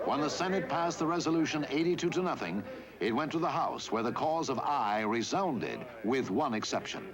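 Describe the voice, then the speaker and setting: A man's fairly high voice at a fairly quick pace, lively in intonation and very even in loudness, over noticeable background noise. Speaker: newsreel narrator. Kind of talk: historical newsreel narration.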